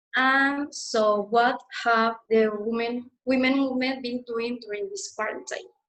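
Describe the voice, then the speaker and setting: With a Mexican accent, a woman speaks at a high pitch. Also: ordinary pitch variation, fairly slow pace. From Mexico. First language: Spanish. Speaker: student activist. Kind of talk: webinar presentation.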